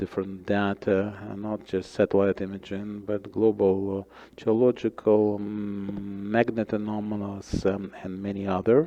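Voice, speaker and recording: A man speaks at a fairly low pitch and a fairly slow pace. His tone is dark and mellow, with monotone, flat intonation. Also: hardly any pauses. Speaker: startup founder speaking at a conference. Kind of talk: conference presentation. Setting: conference stage with audience. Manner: hesitant, many fillers.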